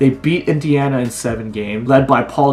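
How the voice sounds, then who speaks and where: There is noticeable background noise. A man speaks at medium pitch. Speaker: college student vlogger. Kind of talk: casual vlog monologue.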